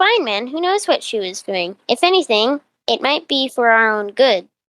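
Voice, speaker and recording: Putting on a character voice, the female-sounding speaker uses a high pitch and a moderate tempo. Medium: audio drama.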